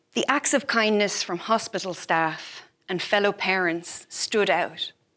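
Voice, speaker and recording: This woman's tone is bright and sharp, at a medium pitch. She speaks at a fairly slow pace in a very clean recording with a silent background. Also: ordinary pitch variation. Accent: Irish. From Ireland. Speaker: physician and health policy fellow. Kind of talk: prepared talk. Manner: formal.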